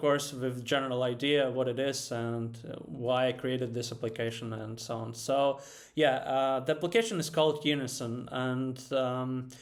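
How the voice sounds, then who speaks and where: There is audible room echo around a man whose intonation stays fairly even. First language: not English. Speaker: software developer presenting own app. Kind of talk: software webinar tutorial. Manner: halting, many fillers; casual.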